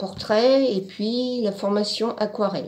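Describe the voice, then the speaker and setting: Very slow pace over noticeable background noise. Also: woman. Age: 60s. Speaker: art course student. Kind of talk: testimony. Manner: halting, with many fillers.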